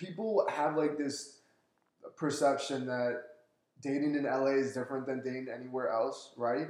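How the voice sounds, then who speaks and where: Heard with audible room echo, a man with an American accent talks at a fairly high pitch and a moderate pace, with fairly even intonation. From US East Coast. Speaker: actor. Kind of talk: casual chat.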